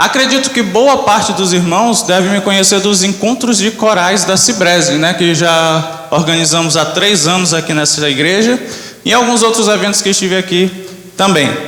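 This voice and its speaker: Amid noticeable background noise and audible room echo, a man with a high pitch speaks at a moderate pace, with ordinary pitch variation and very even loudness. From Brazil, Manaus. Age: 20s. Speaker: church member giving testimony, graphic designer. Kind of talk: testimony. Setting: church.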